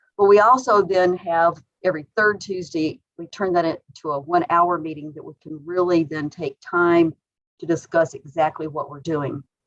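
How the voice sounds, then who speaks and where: A woman's ordinary speaking voice, fairly low-pitched, at a moderate pace with ordinary pitch variation and big swings in loudness, in a dry, close sound with no echo. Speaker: state health official. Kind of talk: meeting presentation.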